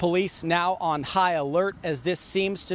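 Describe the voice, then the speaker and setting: With an American accent and a high pitch, a man speaks at a fairly slow pace over noticeable background noise. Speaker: TV news anchor and reporter. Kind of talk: live field reporting. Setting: outdoors, on location live report.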